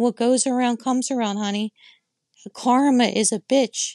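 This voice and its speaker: At a moderate pace, a woman with a fairly high pitch speaks in a dry, close sound with no echo against a quiet background. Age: 50s. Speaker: podcast host. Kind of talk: opinion rant. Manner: animated.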